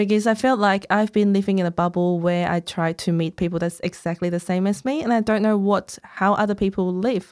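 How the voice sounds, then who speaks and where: A woman with a Cantonese accent talks at a fairly quick pace with hardly any pauses, her pitch medium and her intonation fairly even. Her loudness stays very even, and the recording is very clean with a silent background. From Hong Kong. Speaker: author. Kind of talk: casual interview chat.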